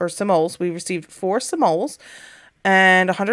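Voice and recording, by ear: A passage is read aloud in a natural voice whose intonation stays fairly even.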